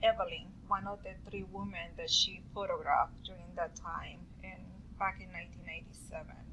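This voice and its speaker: A woman with a strong non-native accent over noticeable background noise. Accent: strong foreign. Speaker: student. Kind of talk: class presentation. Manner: halting, with many fillers.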